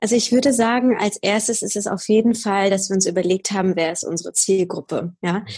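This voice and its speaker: This woman's voice is somewhat breathy and sits at a medium pitch. She speaks at a fairly quick pace with fairly even intonation. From Bavaria, near Munich. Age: 20s. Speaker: podcaster. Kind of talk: interview.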